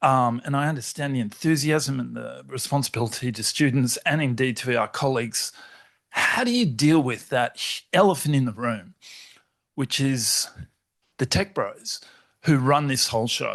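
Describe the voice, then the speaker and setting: Here is a man with a plain, everyday voice. He speaks at a moderate pace in a fairly high pitch. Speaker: academic audience member. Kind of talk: audience question.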